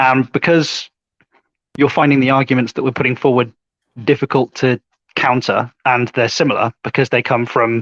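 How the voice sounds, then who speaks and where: A man with an English Midlands accent speaks at a moderate pace and medium pitch, with long, frequent pauses. His intonation is flat and monotone, his loudness very even, and the sound dry and close with no echo. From English Midlands, Warwickshire. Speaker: online debater. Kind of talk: casual chat.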